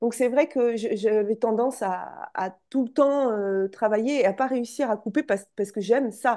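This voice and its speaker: A woman's high voice, dark and mellow in tone, at a moderate pace over a quiet background. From France, Charente. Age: 40s. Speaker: entrepreneur, former school teacher. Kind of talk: interview.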